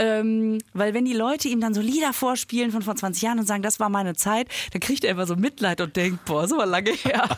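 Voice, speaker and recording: A woman with a plain, everyday voice and a fairly high pitch speaks at a moderate pace, with ordinary pitch variation and very even loudness. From Germany, near Düsseldorf. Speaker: podcast co-host and comedian. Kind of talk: casual chat.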